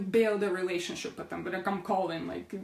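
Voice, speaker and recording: In an animated tone, a woman speaks with a non-native accent. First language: not English. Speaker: essential oils educator. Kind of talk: online class.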